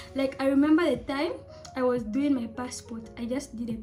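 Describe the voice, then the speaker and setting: With music in the background, a woman speaks in a high pitch at a fairly slow pace with fairly even intonation. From Zambia. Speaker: student studying abroad. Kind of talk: casual storytime talk to camera.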